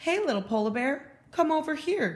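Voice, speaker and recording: A put-on character voice pitched high. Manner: friendly.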